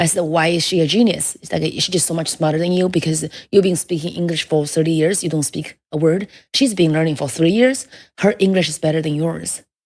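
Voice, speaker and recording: This woman speaks with a strong Chinese accent and a fairly low pitch. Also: ordinary pitch variation, fairly quick pace. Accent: heavy Chinese. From China. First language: Mandarin Chinese. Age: 30s. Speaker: stand-up comedian. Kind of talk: casual interview chat. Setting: studio.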